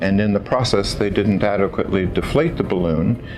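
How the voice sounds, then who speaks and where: Amid noticeable background noise and audible room echo, a man speaks with an American accent at a fairly low pitch. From California, US. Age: 60s. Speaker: patient giving testimonial. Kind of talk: testimony. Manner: hesitant, with frequent fillers.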